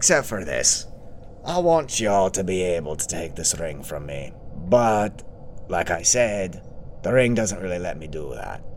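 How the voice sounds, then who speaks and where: Using a put-on character voice, a man speaks with a very deep, low pitch and a menacing tone at a moderate pace over clear background noise. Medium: actual play. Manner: sardonic, menacing.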